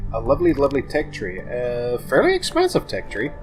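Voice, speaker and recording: A man at a fairly quick pace with ordinary pitch variation and music in the background. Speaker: gameplay commentator. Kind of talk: casual let's play commentary. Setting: boomy room, muffled echo.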